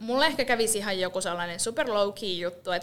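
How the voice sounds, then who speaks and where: In an unremarkable speaking voice, a woman talks at a medium pitch with ordinary pitch variation. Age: 30s. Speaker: podcast co-host. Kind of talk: casual chat. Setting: rented podcast studio.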